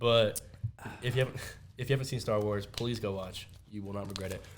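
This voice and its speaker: The man speaks at a very fast pace. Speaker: podcast host. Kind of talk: casual chat.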